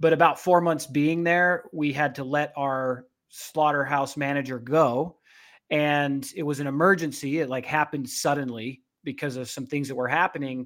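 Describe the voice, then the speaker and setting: A man with an American accent and a fairly high pitch talks at a moderate pace in a normal speaking voice. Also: very clean recording, silent background. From Utah. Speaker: beef packing plant strategist. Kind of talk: interview conversation.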